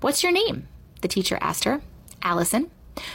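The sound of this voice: Unforced reading voice.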